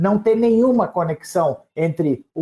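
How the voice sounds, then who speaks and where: A man talks with lively intonation and a dark, mellow tone. The sound is dry and close, with no echo. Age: 70s. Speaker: former political prisoner, memory activist. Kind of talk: radio interview. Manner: halting.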